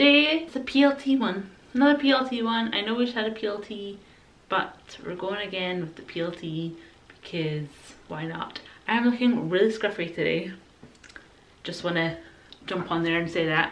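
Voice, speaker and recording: A woman's medium-pitched voice in a Scottish accent, relaxed in tone, at a moderate pace with long, frequent pauses. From Scotland. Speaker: fashion YouTuber. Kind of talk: casual talk to camera. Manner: chatty, relaxed.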